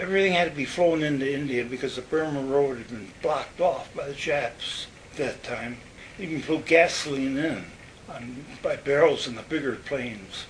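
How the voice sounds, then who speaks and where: A man with an American accent and a fairly high pitch speaks at a moderate pace with ordinary pitch variation and big swings in loudness, amid audible room echo and noticeable background noise. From Western New York. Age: 90s. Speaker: war veteran. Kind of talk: oral history interview. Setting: nursing home. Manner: halting.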